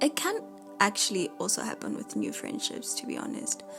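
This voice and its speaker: Music plays in the background while a woman talks at a fairly slow pace. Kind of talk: casual diary-style talk podcast. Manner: rambling, relaxed.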